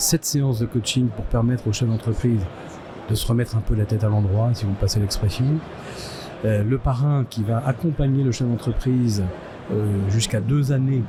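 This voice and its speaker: The intonation stays fairly even, with noticeable background noise throughout. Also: man. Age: 60s. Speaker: business owner and association volunteer. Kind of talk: interview. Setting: trade fair stand. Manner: hesitant, many filler sounds.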